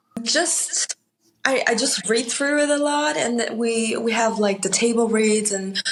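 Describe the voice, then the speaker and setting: A woman with a Chinese accent speaks at a fairly slow pace and a fairly high pitch. Her loudness stays very even, with ordinary pitch variation. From Austria. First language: Mandarin Chinese. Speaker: actor. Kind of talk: interview.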